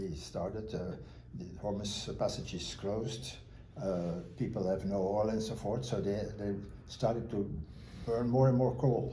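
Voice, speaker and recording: At a fairly slow pace and with ordinary pitch variation, the speech carries audible room echo. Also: man. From Belgium. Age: 80s+. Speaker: retired power system consultant. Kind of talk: interview. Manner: hesitant, many fillers.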